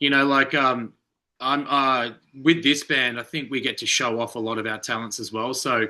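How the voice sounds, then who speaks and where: A man with an Australian accent speaks at a moderate pace with a medium pitch. His tone is bright and sharp, and the background is quiet. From Australia, Melbourne. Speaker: rock band lead singer. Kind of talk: interview. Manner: animated.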